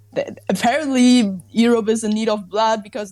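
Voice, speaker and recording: At a moderate pace, a woman with a German accent talks with fairly even intonation. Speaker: podcast guest. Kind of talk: casual chat.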